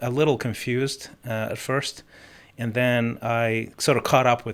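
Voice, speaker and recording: With a slight non-native accent, a man speaks at a medium pitch and a moderate pace with fairly even intonation, on a very clean recording with a silent background. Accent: slight foreign. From multiple countries incl. Mozambique. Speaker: podcast guest. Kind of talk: interview conversation.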